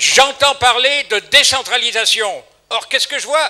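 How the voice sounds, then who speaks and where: Extremely high pitch from a man, fairly even intonation and a fairly slow pace, with noticeable background noise. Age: 80s+. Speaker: audience member at public debate. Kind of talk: public meeting question. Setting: public hall with audience. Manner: halting.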